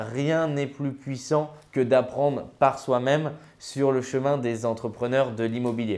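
A man talks at a moderate pace with a fairly high pitch. He has an unremarkable speaking voice. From France, Grenoble; France. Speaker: real estate investment coach and author; real estate investment coach. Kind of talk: educational vlog monologue. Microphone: lapel.

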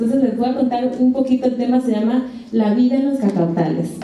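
A woman talks at a very fast pace. There is light background noise and audible room echo. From Mexico, Comalcalco, Tabasco. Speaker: chef. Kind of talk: lecture. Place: hall.

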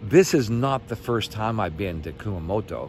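A man's voice in a dry sound with no echo, over noticeable background noise. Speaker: solo sailor vlogger. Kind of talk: casual vlog chat. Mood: relaxed, friendly. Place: street. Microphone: phone near.

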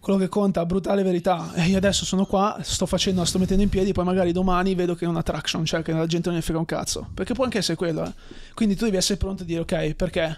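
A man speaks very fast in a high, monotone voice with flat intonation, over light background noise. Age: 20s. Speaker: entrepreneur and former footballer; podcast guest. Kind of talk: casual chat. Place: studio. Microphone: studio mic.

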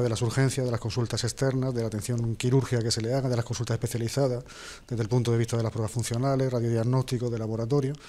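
A man's dark, mellow voice at a very fast pace in a monotone, flat intonation. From Spain, Jaén (Andalusia); Andalusia, Spain. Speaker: hospital director and surgeon; guest. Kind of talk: TV interview. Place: studio. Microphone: lapel.

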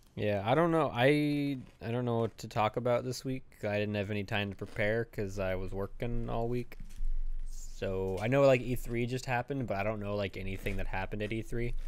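Ordinary pitch variation and a fairly quick pace from a man. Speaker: podcast host. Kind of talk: casual podcast chat. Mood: relaxed, low-key. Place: home room. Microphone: studio mic.

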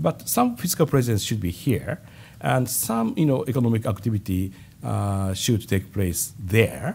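With a Japanese accent, a man speaks at a fairly slow pace with vocal fry. His pitch makes very wide swings. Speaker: government finance official. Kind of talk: press conference. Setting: stage with audience. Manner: halting. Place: hall. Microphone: podium.

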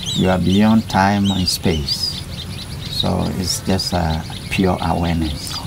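Noticeable background noise sits behind a man with a very deep, low voice. He speaks very slowly, with fairly even intonation. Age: 70s. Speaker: spiritual teacher and healer. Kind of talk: interview answer.

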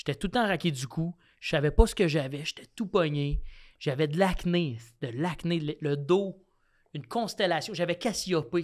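A man speaks in a fairly high pitch with ordinary pitch variation. The pace is moderate and the background quiet. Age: 30s. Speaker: comedian. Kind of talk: casual chat. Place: studio. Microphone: studio mic.

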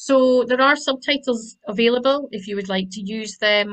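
A woman talks at a moderate pace with ordinary pitch variation over a quiet background. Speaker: webinar host. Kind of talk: housekeeping announcements and speaker introduction. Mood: friendly, light laughs. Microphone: video call.

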